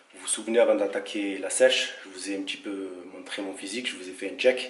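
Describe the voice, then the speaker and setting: Noticeable background noise and audible room echo fill the recording. A man speaks in it at a fairly quick pace. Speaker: fitness vlogger. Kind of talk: vlog.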